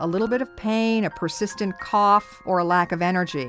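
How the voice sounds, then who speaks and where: Music plays in the background beneath speech with lively intonation. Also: woman. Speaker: radio broadcaster. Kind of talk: radio health news narration.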